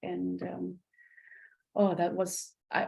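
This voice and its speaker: In a Dutch accent, a woman speaks at a fairly low pitch. Her tone is dark and mellow. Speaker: podcast host. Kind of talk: interview. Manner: halting.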